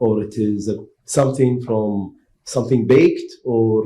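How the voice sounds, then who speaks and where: A man with an Arabic accent, a dark, mellow, somewhat breathy tone and fairly even intonation. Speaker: panelist. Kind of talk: panel discussion.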